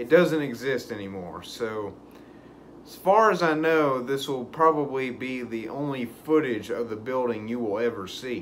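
The speech moves at a fairly slow pace with ordinary pitch variation over light background noise. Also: man. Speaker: urban exploration vlogger. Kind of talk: casual vlog chat. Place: home room. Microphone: phone near.

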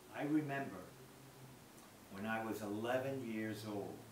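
Against noticeable background noise and audible room echo, a man with an American accent speaks slowly-ish, fairly low in pitch, with fairly even intonation. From Bronx, New York. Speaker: birthday celebrant. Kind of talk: personal speech reading. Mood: warm, reflective. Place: home room.

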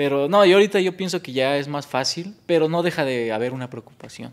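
This man's pitch is fairly high with ordinary pitch variation. He talks at a fairly quick pace. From Mexico, State of Mexico (San Mateo Atenco); State of Mexico. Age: 20s. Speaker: professional boxer; guest. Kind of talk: casual interview. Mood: reflective, earnest. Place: studio. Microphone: studio mic.

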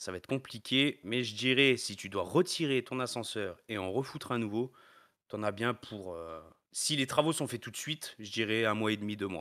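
At a moderate pace, a man at medium pitch has a bright, sharp tone and ordinary pitch variation on a very clean recording with a silent background. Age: 30s. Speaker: elevator maintenance technician. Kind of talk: interview. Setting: live stream.

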